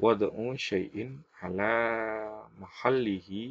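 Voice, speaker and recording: This is a man speaking. His voice is fairly low-pitched. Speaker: education YouTuber going through exam practice questions. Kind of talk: tutorial. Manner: hesitant, many fillers.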